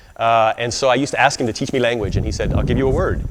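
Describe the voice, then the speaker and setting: A man talks at a very fast pace with an American accent. His medium-pitched voice keeps a fairly even intonation. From US South, Arkansas. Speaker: Hawaiian studies scholar and speaker. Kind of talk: speech to an audience. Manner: halting, many fillers.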